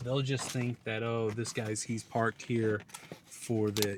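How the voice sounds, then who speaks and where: A man at a moderate pace and medium pitch, fairly even intonation, noticeable background noise behind him. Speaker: car camping vlogger. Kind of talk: casual vlog narration. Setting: in a car at night. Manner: whispering; hesitant, many fillers.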